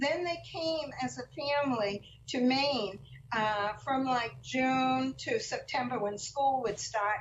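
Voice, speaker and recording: A woman speaks in a high voice. Her pace is very slow. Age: 70s. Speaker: author and former teacher. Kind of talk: talk to a class. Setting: video call. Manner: halting, many fillers.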